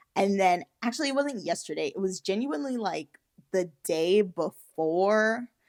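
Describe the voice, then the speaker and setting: Medium-pitched woman's voice with lively intonation at a fairly slow pace, dry and close with no echo, in a very clean recording with a silent background. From US Virgin Islands, raised in the United States. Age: 30s. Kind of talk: casual talk to camera. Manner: chatty, enthusiastic.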